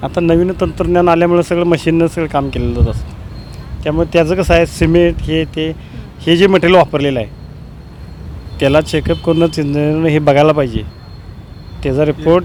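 With noticeable background noise behind him, a man speaks at a fairly high pitch with fairly even intonation. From Kolhapur, Maharashtra, India. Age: 30s. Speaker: local resident. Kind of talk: street interview. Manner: halting.

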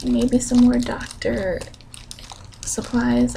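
Whispering and soft-spoken, a woman talks at a very slow pace. There is light background noise. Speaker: ASMR content creator; college student. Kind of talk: ASMR ramble update to camera. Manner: soft-spoken, whispered. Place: home room. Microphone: studio mic.

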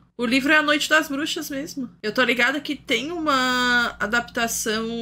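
Her voice is bright and sharp as this woman speaks at a fairly slow pace. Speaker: streamer. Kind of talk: casual livestream commentary. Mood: incredulous, amused. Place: home room.

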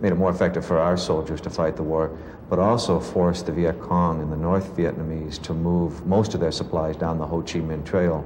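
The voice moves at a fairly quick pace in a monotone, flat intonation. Background noise is noticeable. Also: man, very deep, low pitch for a man. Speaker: war veteran. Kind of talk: interview answer.

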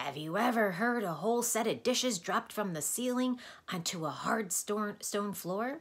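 A hoarse, female-sounding put-on character voice at medium pitch moves at a moderate pace. The recording is very clean with a silent background.

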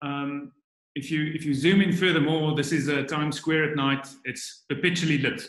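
Over a quiet background with audible room echo, a man talks at a moderate pace in a monotone, flat intonation. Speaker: biologist; guest. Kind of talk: online presentation. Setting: video call. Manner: halting, many fillers and repetitions. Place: home room. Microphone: webcam.

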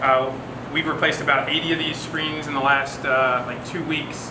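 Noticeable background noise accompanies a man who speaks fairly quickly. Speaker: company host presenting workshop. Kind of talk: workshop talk to audience. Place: bar. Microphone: handheld.

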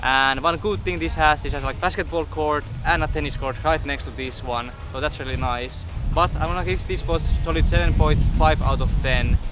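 Clear music plays behind a man whose voice sounds dry, with no echo. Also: moderate pace. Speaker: fitness vlogger. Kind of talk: casual vlog chat. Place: open country.

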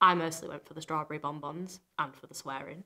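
Against a quiet background, a woman's fairly low, bright, sharp voice holds a fairly even intonation. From Hull, England. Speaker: poet. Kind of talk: poetry reading. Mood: warm, playful, proud. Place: studio.

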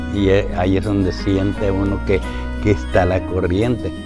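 At a fairly slow pace, a man talks over clear music in the background, the sound dry with no echo. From northern Mexico. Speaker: water diviner. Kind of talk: interview answer. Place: home room. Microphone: lapel.

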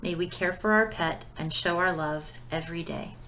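A woman with a gentle, warm tone speaks with ordinary pitch variation over light background noise. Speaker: pastor leading devotion. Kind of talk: devotional video: book review with read-out prayers; fervent prayer, read aloud with warm sincerity. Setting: recorded video. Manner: gentle, warm, sincere, unhurried; conversational, with filler words. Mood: calm, gentle, devotional. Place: home room. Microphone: webcam.

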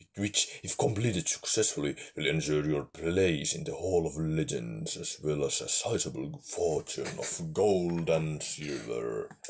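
A man puts on a character voice with a very deep, low pitch and lively intonation. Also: fairly slow pace. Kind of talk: epic fantasy narration. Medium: game stream. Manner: dramatic, grave.

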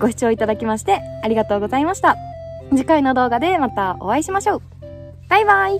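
A woman speaks at a very fast pace with clear music in the background. The sound is dry with no echo. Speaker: hiking vlogger. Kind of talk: casual vlog chat. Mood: cheerful, laughing. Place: open country. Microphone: phone near.

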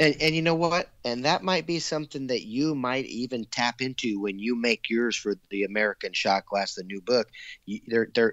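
In an ordinary speaking voice, a man talks at a moderate pace with medium pitch and lively intonation. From US Pacific Northwest, Eugene, Oregon. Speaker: glass artist. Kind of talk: casual chat.

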